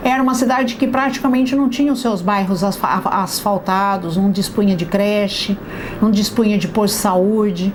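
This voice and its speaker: A woman speaks at a moderate pace in a fairly high-pitched voice with ordinary pitch variation. Audible room echo and noticeable background noise fill the recording. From Brazil, Itu (São Paulo state). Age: 60s. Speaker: local politician. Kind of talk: testimony interview. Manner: halting, with fillers.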